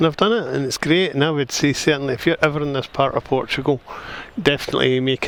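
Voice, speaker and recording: Over noticeable background noise, a man speaks very fast with ordinary pitch variation. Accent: Scottish. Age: 60s. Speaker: retired travel vlogger. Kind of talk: casual travel vlog narration. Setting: outdoors on a walkway. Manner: casual, halting with restarts.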